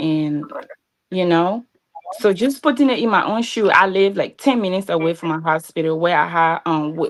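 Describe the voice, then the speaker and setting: A woman's fairly low-pitched voice at a moderate pace. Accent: Liberian. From Liberia, Grand Bassa County. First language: Bassa. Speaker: pageant contestant. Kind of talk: interview.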